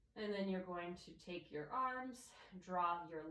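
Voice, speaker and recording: A woman speaks at a fairly slow pace in a medium pitch, with audible room echo. Her intonation is lively. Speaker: yoga instructor. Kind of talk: guided yoga class. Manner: calm, instructive.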